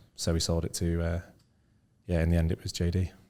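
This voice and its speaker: A man with a northern English accent, very deep and low in pitch, with a dark, mellow tone, in a very clean recording with a silent background. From northern England, Scunthorpe. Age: 30s. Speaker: entrepreneur. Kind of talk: interview.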